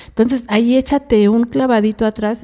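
High-pitched woman's voice in a Mexican accent. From Mexico. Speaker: co-host; radio show host or guest. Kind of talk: live radio talk. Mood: earnest, advising. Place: studio. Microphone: studio mic.

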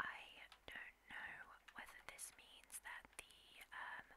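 A woman is whispering. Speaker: ASMR gaming streamer. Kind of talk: casual talk to camera while gaming.

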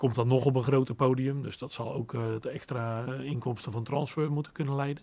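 A man's fairly quick, monotone delivery with flat intonation and hardly any pauses. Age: 50s. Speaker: son of a former footballer; guest. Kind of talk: interview. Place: studio. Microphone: studio mic.

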